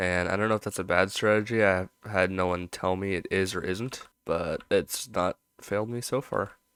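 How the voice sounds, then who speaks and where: A man speaks quietly in a very deep, low voice at a moderate pace with fairly even intonation. The recording is very clean and the background silent. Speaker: animator YouTuber. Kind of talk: casual commentary while drawing. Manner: talking quietly.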